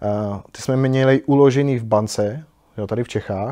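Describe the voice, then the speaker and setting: A man's medium-pitched voice with a dark, mellow tone and fairly even intonation, over a quiet background. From Czechia, Podkrkonoší region. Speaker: motorcycle traveller. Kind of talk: interview. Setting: motorcycle shop.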